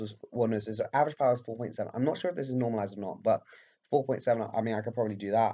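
A man with a British accent speaks at a fairly quick pace in a dark, mellow tone, his medium pitch kept in fairly even intonation. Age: 20s. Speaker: amateur cyclist and student YouTuber. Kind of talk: casual vlog commentary. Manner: hesitant, many fillers.

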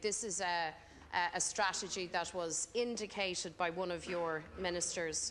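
With music playing in the background, a woman speaks at a moderate pace. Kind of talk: parliamentary questioning. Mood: pointed, critical. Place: hall. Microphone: podium.

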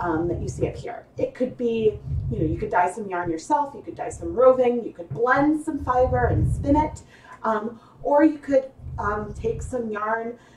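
Over noticeable background noise, a woman speaks at a moderate pace in a fairly high pitch, with very wide pitch swings and big swings in loudness. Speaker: fiber arts livestream host. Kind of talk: live tutorial. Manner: casual, chatty with fillers.

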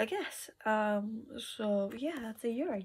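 A woman speaks at a very slow pace, her voice somewhat breathy. Light background noise can be heard. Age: 20s. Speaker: vlogger; haul vlogger. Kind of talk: casual haul video. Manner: hesitant, many fillers. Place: home room. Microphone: phone near.

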